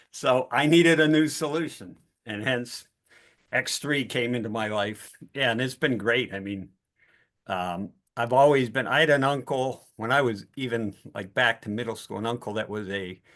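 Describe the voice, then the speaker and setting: Over a quiet background, a man with an ordinary speaking voice and an American accent talks at a moderate pace in a medium pitch with ordinary pitch variation. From Pittsburgh, US. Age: 60s. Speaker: participant sharing a testimony. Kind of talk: testimony.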